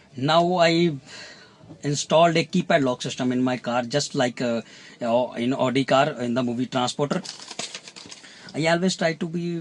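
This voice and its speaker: The man talks at a moderate pace. Noticeable background noise is present. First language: not English. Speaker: car hobbyist. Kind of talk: tutorial. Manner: halting.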